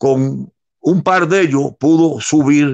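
The man's pitch variation is ordinary. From Cuba, Santiago de Cuba. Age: 90s. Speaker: former politician and historical witness. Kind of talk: interview.

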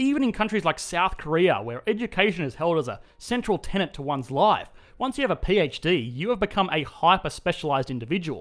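A man with an Australian accent talks at a fairly quick pace in a high pitch. His pitch swings very widely. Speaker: video essayist on economics. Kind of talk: scripted explainer narration.

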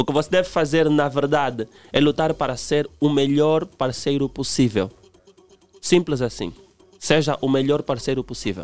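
Music plays in the background behind a man's voice. He speaks at a fairly high pitch with ordinary pitch variation. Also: moderate pace. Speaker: relationship commentator. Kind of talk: radio interview.

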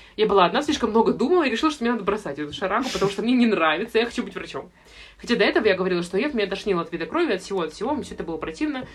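A woman's very fast speech with very wide pitch swings, over noticeable background noise. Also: medium pitch for a woman. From Russia, St Petersburg. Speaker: medical student. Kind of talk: casual chat.

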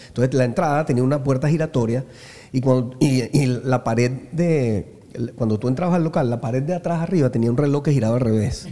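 Speaking fairly quickly with a Venezuelan accent, a man has a dark, mellow tone, medium pitch, ordinary pitch variation and very even loudness. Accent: Venezuelan, San Antonio. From Venezuela, San Antonio de los Altos. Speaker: musician. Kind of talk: casual chat.

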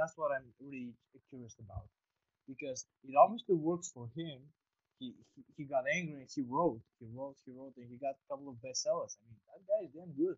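A man speaks at a fairly quick pace with a fairly high, somewhat breathy voice. His loudness swings widely, and the sound is dry and close with no echo. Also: ordinary pitch variation. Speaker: podcast host. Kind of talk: casual interview conversation. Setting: online call. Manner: friendly, informal.

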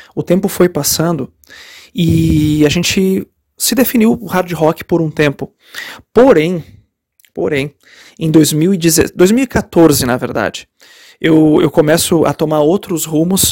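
A man with a fairly high pitch and lively intonation speaks at a very slow pace with long, frequent pauses, in a very clean, dry, close recording with a silent background and no echo. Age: 30s. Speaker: rock musician. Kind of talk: interview answers. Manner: many fillers and repetitions.

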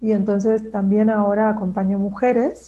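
The delivery is fairly slow and somewhat breathy. The tone is dark and mellow. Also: woman. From Argentina, Neuquén. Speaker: postpartum doula and therapeutic companion. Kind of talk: interview.

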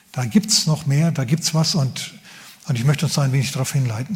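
A fairly high male voice at a fairly quick pace, with ordinary pitch variation and noticeable background noise. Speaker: pastor. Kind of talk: sermon. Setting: church. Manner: animated, conversational preacher; humorous, casual.

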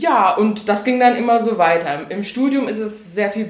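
Amid noticeable background noise and audible room echo, a woman at medium pitch speaks with ordinary pitch variation. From Saarland, Germany. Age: 20s. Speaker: author. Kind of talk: podcast interview.

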